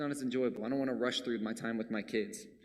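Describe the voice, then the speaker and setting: Vocal fry colors the voice of a man talking at a fairly quick pace. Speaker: preacher. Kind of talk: sermon. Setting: church. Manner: fast.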